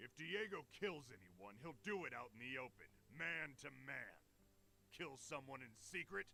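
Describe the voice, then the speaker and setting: A man does a gruff, put-on character voice at a medium pitch with very wide pitch swings. He keeps a moderate pace over clear background noise. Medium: video game. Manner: gruff, laughing, colloquial.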